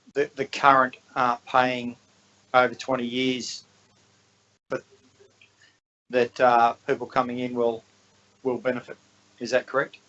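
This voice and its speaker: Mumbling in an Australian accent, the speaker goes fairly slowly with long, frequent pauses and monotone, flat intonation. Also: man, medium pitch for a man. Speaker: councillor. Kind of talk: council meeting questions. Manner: halting, mumbling.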